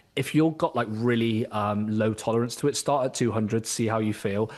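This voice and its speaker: A speaker with a British accent, captured in a very clean recording against a silent background. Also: man. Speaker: executive health coach. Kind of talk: podcast interview.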